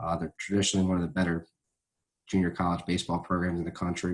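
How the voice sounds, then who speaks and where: Someone with an American accent talks very fast in a monotone, flat delivery. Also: man, very clean recording, silent background. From South Jersey, US. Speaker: high school football coach. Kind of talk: interview. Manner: hesitant, many fillers.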